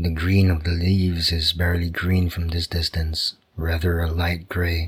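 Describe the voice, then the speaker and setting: A man's very deep, low voice, somewhat breathy, with monotone, flat intonation. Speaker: sleep story narrator. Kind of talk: bedtime story narration. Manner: slow, calm, soothing; gentle, soft-spoken, even.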